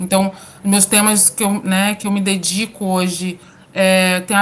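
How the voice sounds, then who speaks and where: A woman at a medium pitch, with monotone, flat intonation. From Minas Gerais, Brazil (interior, São João del Rei). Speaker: university professor and researcher. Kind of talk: interview.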